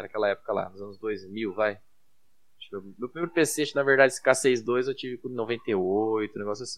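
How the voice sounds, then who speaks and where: In a plain, everyday voice, a man speaks at a moderate pace with lively intonation. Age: 30s. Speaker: security engineer. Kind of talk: casual chat.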